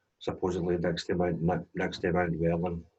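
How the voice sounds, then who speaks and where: A man speaks with a Glaswegian accent. His pitch is very deep and low, and his pace is fairly slow. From Scotland, Glasgow east end. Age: 40s. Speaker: DJ and drone business owner sharing life story. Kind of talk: personal testimony in interview.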